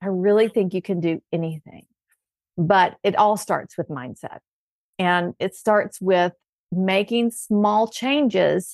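A woman with a Southern US accent at a very slow pace, warm in tone and medium in pitch, with ordinary pitch variation and a dry, close sound with no echo. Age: 50s. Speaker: health coach. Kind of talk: casual chat.

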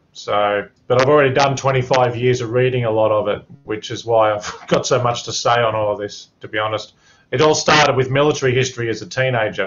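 A man with an Australian accent talks at a fairly quick pace and a medium pitch, his intonation fairly even. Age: 40s. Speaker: mature-age student. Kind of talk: class discussion.

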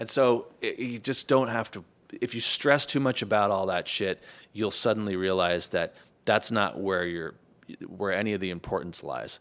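In an ordinary speaking voice, a man talks at a moderate pace with an American accent, his pitch fairly low with ordinary variation. The recording is very clean, with a silent background. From Los Angeles, US. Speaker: musician and score mixer. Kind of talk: casual chat. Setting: studio.

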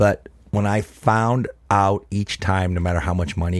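A man with an American accent speaks at a fairly slow pace. His very deep, low voice has ordinary pitch variation. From Ohio, Cleveland. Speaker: handbag brand founder. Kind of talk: casual interview. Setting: live recording in a trailer. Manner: animated.

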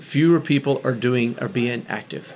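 The speaker has an American accent and a fairly quick pace. Noticeable background noise runs behind the voice. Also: man. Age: 50s. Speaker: bike shop owner. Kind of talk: casual interview.

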